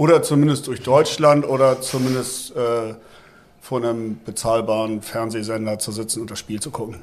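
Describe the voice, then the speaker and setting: Over noticeable background noise, a man speaks at a moderate pace and medium pitch, with ordinary pitch variation and big swings in loudness. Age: 50s. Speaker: football fan veteran. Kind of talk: casual chat.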